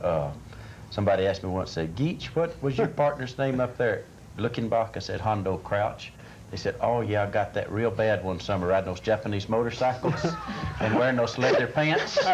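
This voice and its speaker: Over noticeable background noise, a man with a Texan accent talks at a fairly quick pace and a medium pitch. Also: lively intonation. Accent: Texas Southern. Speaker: actor. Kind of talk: TV interview.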